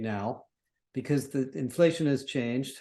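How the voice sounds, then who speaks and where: This man speaks at a moderate pace with a dark, mellow tone, a fairly high pitch and ordinary pitch variation. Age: 60s. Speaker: industry analyst. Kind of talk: interview.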